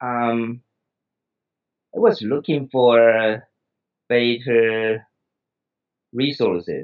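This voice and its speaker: This man talks very slowly in a Taiwanese accent, pausing long and often. His pitch sits in the middle for a man, with fairly even intonation. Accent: Taiwanese Mandarin-accented English. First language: Mandarin Chinese. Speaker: psychiatrist and English learner. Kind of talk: interview. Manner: halting, many fillers.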